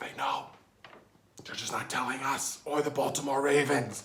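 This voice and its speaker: A man whispers in a raspy, put-on character voice. He keeps a moderate pace. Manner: whispering.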